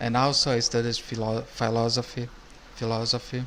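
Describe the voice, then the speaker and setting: A medium-pitched man with a strong Brazilian accent and flat, monotone intonation. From Brazil or Portugal. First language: Portuguese. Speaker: YouTube reactor. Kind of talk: casual video commentary. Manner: halting, many restarts.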